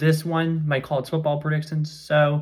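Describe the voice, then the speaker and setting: A man with an American accent talks at a fairly quick pace. His voice is somewhat breathy and fairly high in pitch. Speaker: high school sports commentator. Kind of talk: sports recap vlog. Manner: fast; casual, with filler words.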